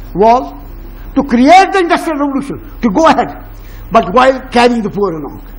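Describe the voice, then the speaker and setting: Over noticeable background noise, a man speaks in an animated tone at a fairly quick pace, his pitch extremely high. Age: 80s+. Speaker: educationist. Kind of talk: public talk with Q&A.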